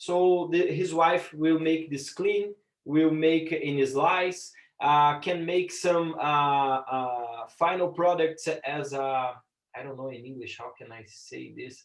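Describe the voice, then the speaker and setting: A man with a Portuguese accent talks at a very slow pace, his pitch fairly high with ordinary variation. His loudness swings widely. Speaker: business lecturer and impact investor. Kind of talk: lecture. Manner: halting, frequent repetitions and fillers.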